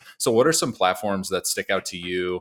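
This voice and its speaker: A man with a plain, everyday voice speaks at a fairly low pitch and moderate pace, the sound dry and close with no echo. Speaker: podcast co-host. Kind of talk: podcast intro and interview.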